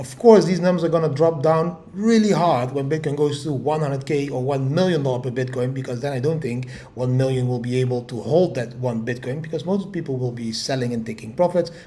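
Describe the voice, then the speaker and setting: The speech moves at a fairly quick pace with ordinary pitch variation and hardly any pauses. Audible room echo surrounds the voice. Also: man, fairly high pitch for a man. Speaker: crypto market commentator. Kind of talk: market update video. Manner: animated.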